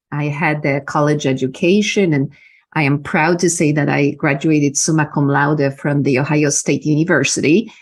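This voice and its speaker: A woman's very deep, low voice with fairly even intonation, moving at a moderate pace. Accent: Polish. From Poland. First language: Polish. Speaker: business mentor and energy healer. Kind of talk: interview. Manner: halting, many fillers.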